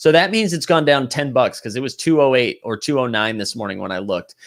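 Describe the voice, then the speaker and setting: On a very clean recording with a silent background, a man with a Boston accent and a fairly high pitch talks at a fairly quick pace, animated and with lively intonation. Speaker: livestream host, NBA Top Shot collector. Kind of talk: casual livestream talk reading chat comments.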